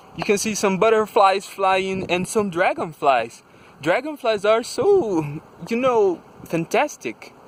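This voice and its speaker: Speaking very slowly with a Brazilian Portuguese accent, a man uses a high pitch and lively intonation. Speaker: vlogger. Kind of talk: casual monologue vlog. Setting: outdoors. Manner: halting.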